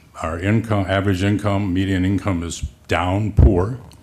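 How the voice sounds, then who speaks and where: Over noticeable background noise, a man talks at a moderate pace in a fairly low pitch. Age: 70s. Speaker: county legislator, former attorney. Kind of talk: committee meeting debate.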